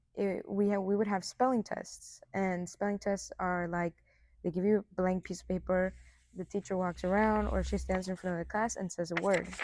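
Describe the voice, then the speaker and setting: A woman speaks with a Spanish accent. The recording is very clean, with a silent background. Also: moderate pace. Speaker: college soccer player. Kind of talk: interview. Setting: indoor sports facility.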